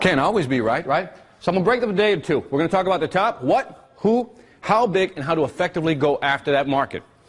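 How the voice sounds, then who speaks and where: A man talks very fast in a high pitch with lively intonation. Noticeable background noise runs behind him. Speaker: seminar speaker. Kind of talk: seminar talk. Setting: stage with audience. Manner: animated.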